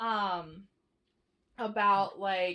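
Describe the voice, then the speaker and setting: A woman's bright, sharp tone. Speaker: vlogger, married couple channel. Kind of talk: casual chat. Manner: halting.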